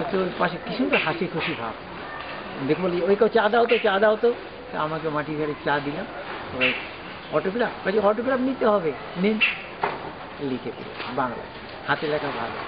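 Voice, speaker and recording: A man talks in a high voice, his pitch swinging very widely, with noticeable background noise behind him. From West Bengal, India. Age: 70s. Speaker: wandering volunteer. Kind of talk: interview.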